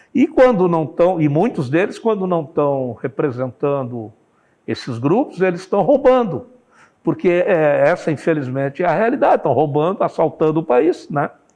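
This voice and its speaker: Pitched high with very wide pitch swings, this man's voice has a dark, mellow tone. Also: moderate pace. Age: 60s. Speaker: journalist, newspaper owner. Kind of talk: interview.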